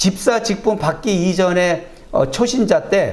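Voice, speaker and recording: The speech comes at a very slow pace. Noticeable background noise and audible room echo fill the recording. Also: man. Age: 60s. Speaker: preacher. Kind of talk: sermon with personal testimony. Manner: conversational with fillers.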